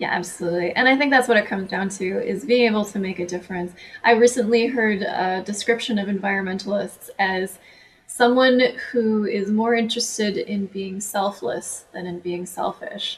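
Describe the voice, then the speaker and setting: Speaking with a Canadian accent, a woman has an ordinary speaking voice, medium pitch and a moderate pace. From Canada. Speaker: holistic nutritionist and author. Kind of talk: interview chat.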